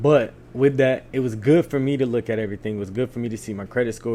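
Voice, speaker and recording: A man speaking at a very fast pace. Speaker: crochet content creator. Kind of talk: casual vlog monologue. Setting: at home on couch.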